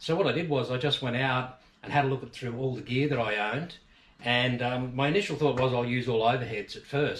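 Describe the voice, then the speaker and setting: At a fairly quick pace, a man with an Australian accent talks at a medium pitch. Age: 50s. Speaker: fishing channel host. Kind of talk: casual tutorial. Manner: casual, many fillers.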